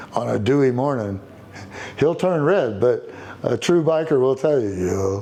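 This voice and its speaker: A man with a Texan accent talks at a moderate pace and medium pitch over noticeable background noise. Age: 60s. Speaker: biker. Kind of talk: interview. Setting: motorcycle shop. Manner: halting.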